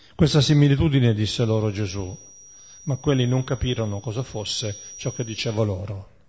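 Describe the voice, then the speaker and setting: There is noticeable background noise as a man talks fairly quickly at a medium pitch with ordinary pitch variation. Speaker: prayer meeting leader. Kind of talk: reading aloud. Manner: halting.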